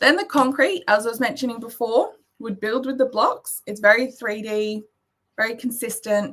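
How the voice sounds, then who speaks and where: A woman speaks with an Australian accent. Her pitch is fairly high, with ordinary pitch variation. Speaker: maths education presenter. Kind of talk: presentation. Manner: fast.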